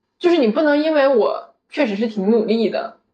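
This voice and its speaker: A woman talks with lively intonation. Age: 20s. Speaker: podcast co-host. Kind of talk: casual chat.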